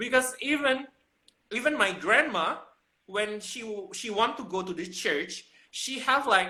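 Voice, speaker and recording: The speech moves at a fairly slow pace. It comes in an Indonesian accent. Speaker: fashion professional. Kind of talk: casual chat. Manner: animated; halting.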